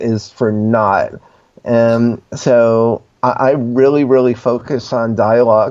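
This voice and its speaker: A man with an American accent at a very slow pace. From New Jersey. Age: 60s. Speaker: screenwriter and filmmaker. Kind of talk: casual interview.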